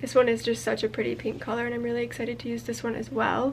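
Light background noise sits behind a woman speaking at a high pitch. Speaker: crochet designer and video creator. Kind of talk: casual vlog chat. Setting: home yarn room, on camera. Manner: casual with fillers. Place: home room. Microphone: phone near.

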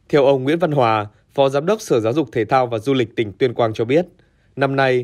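This man speaks at a very fast pace, his medium pitch showing ordinary variation. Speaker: news presenter. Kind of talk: news reading. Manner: formal.

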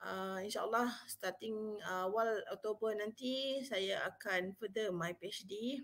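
Speaking very slowly, a woman lets her pitch vary by an ordinary amount. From Malaysia. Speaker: university psychology officer and webinar speaker; webinar speaker. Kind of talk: live webinar talk. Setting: live online stream. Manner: casual, code-switching Malay-English. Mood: friendly, relaxed. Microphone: webcam.

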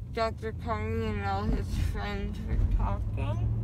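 A woman talks at a very slow pace with noticeable background noise around her. The sound is dry, with no echo. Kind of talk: casual groggy chat. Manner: groggy, slurred post-anesthesia speech. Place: car. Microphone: phone near.

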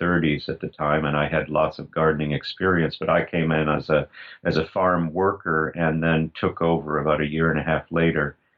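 A man's extremely low voice at a moderate pace, with little pitch movement

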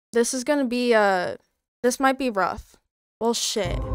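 A woman's high-pitched voice with fairly even intonation, against a quiet background. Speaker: streamer. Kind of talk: casual stream chat. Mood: nervous, playful. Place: home room. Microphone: studio mic.

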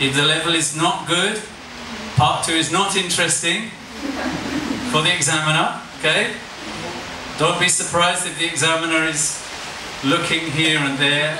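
Over noticeable background noise and audible room echo, a man talks at a moderate pace in a fairly high pitch with fairly even intonation. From England. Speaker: IELTS examiner and trainer. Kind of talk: masterclass lecture. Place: classroom.

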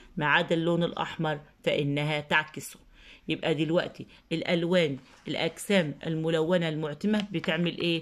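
With an Egyptian accent, a woman speaks at a fairly slow pace and a fairly low pitch, recorded very cleanly against a silent background. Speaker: teacher. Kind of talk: lesson tutorial. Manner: slow, repetitive dictation.

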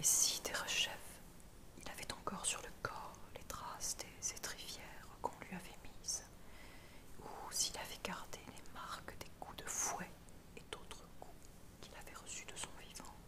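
Whispering at a fairly slow pace, a woman leaves long, frequent pauses, and her loudness swings widely. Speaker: ASMR reader. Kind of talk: philosophy text reading. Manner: whispered.

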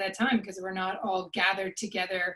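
A woman's somewhat breathy voice at a fairly quick pace, with fairly even intonation over a quiet background. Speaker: webinar host. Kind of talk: opening remarks. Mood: warm, welcoming. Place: home room. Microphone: webcam.

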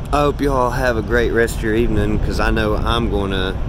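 A man talks at a moderate pace. The sound is dry with no echo, under loud background noise. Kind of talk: casual vlog chat. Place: street. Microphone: phone near.

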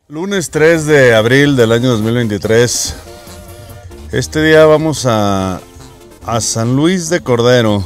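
Over faint music in the background, the speaker moves at a very slow pace with long, frequent pauses and lively intonation, in a dry sound with no echo. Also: man, medium pitch for a man. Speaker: interviewer. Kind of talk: casual talk to camera. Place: car. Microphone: lapel.

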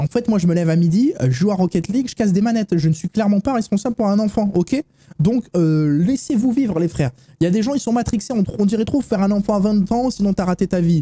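This man's voice is dark and mellow, with lively intonation and a very fast pace. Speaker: streamer. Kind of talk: live reaction commentary. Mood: joking, animated. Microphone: studio mic.

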